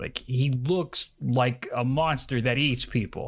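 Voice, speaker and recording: This is a man speaking with ordinary pitch variation. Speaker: player and D&D influencer. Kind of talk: tabletop roleplaying game session.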